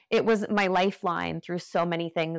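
A woman speaks in a plain, everyday voice at a fairly low pitch. Her intonation is fairly even, and the sound is dry and close with no echo. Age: 40s. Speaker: yoga teacher and author. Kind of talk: interview conversation.

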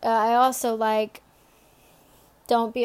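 A woman at a fairly high pitch with monotone, flat intonation, in a very clean recording with a silent background. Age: 20s. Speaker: podcast host giving Bible devotionals. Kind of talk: devotional talk. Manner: casual, with fillers.

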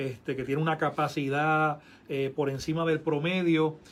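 A man with an ordinary speaking voice, fairly high in pitch, at a fairly slow pace with fairly even intonation. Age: 50s. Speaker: pastor. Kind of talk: casual chat.

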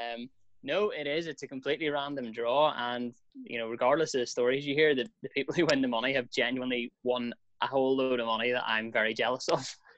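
Very fast speech with fairly even intonation. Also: man, medium pitch for a man. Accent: Northern Irish. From Belfast, Northern Ireland. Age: 20s. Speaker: radio presenter. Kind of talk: casual chat.

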